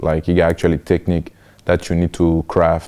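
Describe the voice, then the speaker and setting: A man with a French accent speaks at a moderate pace, his tone dark and mellow and his pitch very deep and low. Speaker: college football player. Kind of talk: interview. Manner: hesitant, many fillers.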